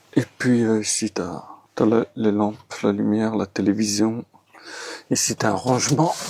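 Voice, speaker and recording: Soft-spoken and fairly low in pitch, a man talks at a fairly slow pace with fairly even intonation over noticeable background noise. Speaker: travel vlogger. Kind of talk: casual vlog narration. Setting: hostel dormitory. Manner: soft-spoken, quiet.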